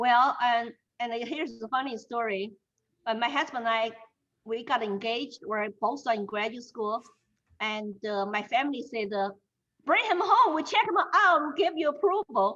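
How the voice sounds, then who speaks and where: At a moderate pace, a woman with a Chinese accent speaks in a high pitch with lively intonation. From China, Shanghai. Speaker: Chinese immigrant interviewee. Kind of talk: interview.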